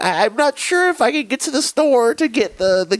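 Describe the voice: A put-on character voice, pitched fairly high. The delivery moves at a fairly quick pace.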